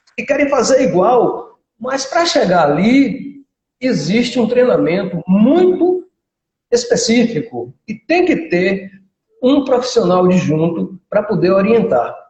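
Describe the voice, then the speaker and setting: Delivered very slowly, the speech swings very widely in pitch. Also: man, extremely high pitch for a man. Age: 60s. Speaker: physical education professional and karate instructor. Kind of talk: casual interview chat.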